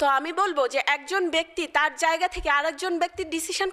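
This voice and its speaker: Over a quiet background, a woman uses a raised, projected voice with a bright, sharp tone and ordinary pitch variation. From Bangladesh, Faridpur; Bangladesh. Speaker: civil servant, diplomat; speaker. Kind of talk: motivational speech. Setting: seminar hall with audience. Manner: formal. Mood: earnest, emotional. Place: hall. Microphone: podium.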